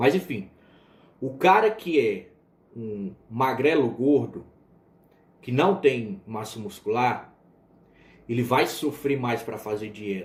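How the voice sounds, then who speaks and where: A somewhat breathy man speaks at a very slow pace with long, frequent pauses and lively intonation. His loudness swings widely, and the room echo is audible. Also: medium pitch for a man. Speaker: biochemistry teacher. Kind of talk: lecture. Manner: casual, with fillers and restarts.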